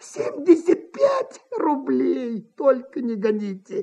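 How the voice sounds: A put-on character voice with a dark, mellow tone, vocal fry, a slightly husky edge, very wide pitch swings and a slow pace.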